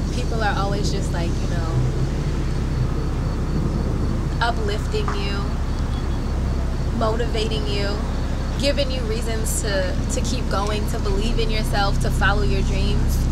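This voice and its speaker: A woman speaks fairly slowly, leaving long, frequent pauses, as loud background noise carries on around her. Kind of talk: interview answer. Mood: warm, smiling, heartfelt.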